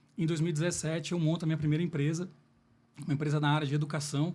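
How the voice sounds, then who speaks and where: A man with a fairly high pitch talks at a very fast pace in a monotone, flat way. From Minas Gerais, Brazil (Lavras). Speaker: business executive, salesman. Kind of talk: podcast interview.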